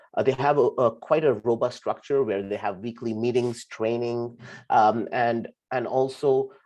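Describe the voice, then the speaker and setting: A man's medium-pitched voice of dark, mellow tone over a quiet background. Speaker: UX designer and volunteer project lead. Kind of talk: conference talk, personal story. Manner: halting, many fillers.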